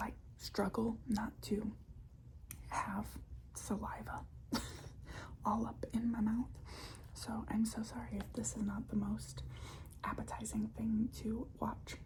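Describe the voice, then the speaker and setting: A soft-spoken woman whispering at a very slow pace, with long, frequent pauses. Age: 20s. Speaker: ASMR creator. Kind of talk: ASMR whispered ramble. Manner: whispered, soft-spoken.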